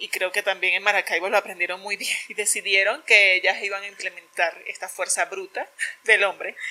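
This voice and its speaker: The tone here is bright and sharp. A woman speaks at medium pitch. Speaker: podcast co-host. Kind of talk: casual chat.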